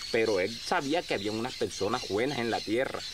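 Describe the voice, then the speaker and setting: Noticeable background noise under a man's fairly quick speech. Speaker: rural storyteller. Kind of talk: humorous folk storytelling. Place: farm machine.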